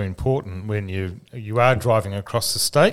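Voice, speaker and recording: Speaking at a moderate pace, a man has a plain, everyday voice and a fairly low pitch. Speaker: podcast co-host. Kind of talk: casual interview chat.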